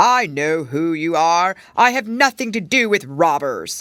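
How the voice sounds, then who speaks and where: Fairly slow delivery in a put-on character voice, pitched in the middle range. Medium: read story.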